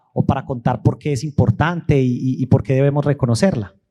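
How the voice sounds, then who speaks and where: At a fairly quick pace, a man talks with a fairly high pitch, ordinary pitch variation, a dark, mellow tone and a somewhat breathy quality. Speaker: historian, event moderator. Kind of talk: public talk at museum event. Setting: museum event with audience.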